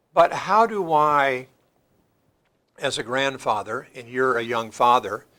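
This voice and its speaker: With an American accent, a man at medium pitch speaks at a very slow pace with long, frequent pauses, a bright, sharp tone, lively intonation and big swings in loudness, in a very clean recording with a silent background. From US Midwest. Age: 60s. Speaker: church leader. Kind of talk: panel discussion. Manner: halting.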